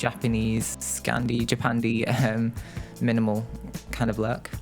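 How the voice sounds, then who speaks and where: A man speaks while music plays in the background. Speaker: video game content creator. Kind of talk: casual voice-over for a game build video.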